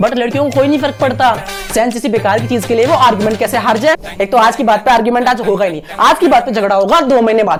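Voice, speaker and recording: Over noticeable background noise, a man speaks with an energetic tone, lively intonation and an extremely high pitch. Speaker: actor and content creator. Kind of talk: comedy monologue performance with Hindi-English code-switching. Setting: acting a scripted monologue to camera. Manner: fast, ranting, sarcastic, energetic.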